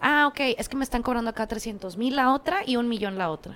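A woman talks with lively intonation at a moderate pace. Noticeable background noise can be heard. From Mexico, Ciudad Acuña, Coahuila. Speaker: communications strategist and agency owner. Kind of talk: casual interview chat.

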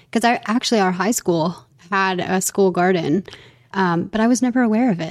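Woman with a plain, everyday voice and ordinary pitch variation. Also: medium pitch for a woman, moderate pace. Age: 30s. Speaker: podcast host. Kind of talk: scripted podcast intro and outro; casual interview chat.

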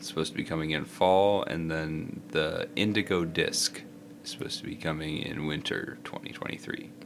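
With a very deep, low pitch and vocal fry, a man talks at a fairly slow pace with lively intonation. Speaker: podcast co-host. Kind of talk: casual chat.

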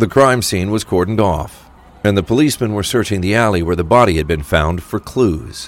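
Lively intonation marks this man's speech, fairly low in pitch and at a fairly quick pace. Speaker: audio drama narrator. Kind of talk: scripted crime thriller narration, steady and gripping with a dark, suspenseful tone. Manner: measured, dramatic, storytelling pacing that builds tension.

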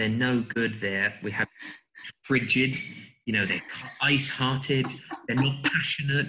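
Speaking at a fairly slow pace, a man keeps his intonation fairly even and leaves long, frequent pauses. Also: medium pitch for a man. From England. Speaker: communication trainer. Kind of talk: interview. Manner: calm.

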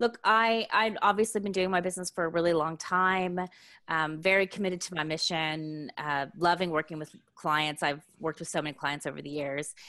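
Speaking with an American accent, a woman uses a fairly low pitch and ordinary pitch variation. Her pace is fairly quick over a quiet background. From Texas. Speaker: business coach. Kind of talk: podcast interview.

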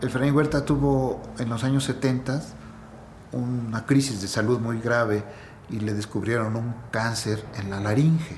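Amid noticeable background noise and audible room echo, a man speaks at a fairly slow pace with fairly even intonation. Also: medium pitch for a man. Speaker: poet's son. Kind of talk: interview.

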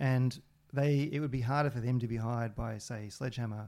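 A man with an Australian accent, a dark, mellow tone, fairly even intonation and a fairly quick pace, on a very clean recording with a silent background. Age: 40s. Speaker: video game programmer and musician. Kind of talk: casual interview.

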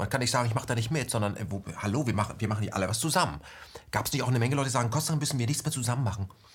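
Intonation rises and falls in a lively way. There is a somewhat breathy quality. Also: man. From West Germany. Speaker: interview host. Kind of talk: interview.

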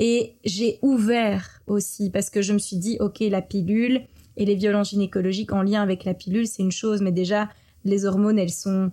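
Her tone is dark and mellow, and her intonation fairly even. The woman keeps a moderate pace. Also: very clean recording, silent background. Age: 30s. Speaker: entrepreneur and film director. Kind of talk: interview conversation.

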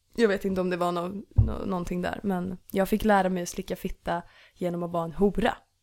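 A woman's fairly quick, monotone, flat delivery, in a very clean recording with a silent background. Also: medium pitch for a woman. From Stockholm area, Sweden (Ösmo). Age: 20s. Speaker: musician. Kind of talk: casual chat. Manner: giggly.

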